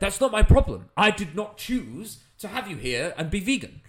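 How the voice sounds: Using a put-on character voice, a man speaks at a high pitch with a fairly bright tone and big pitch swings. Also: moderate pace.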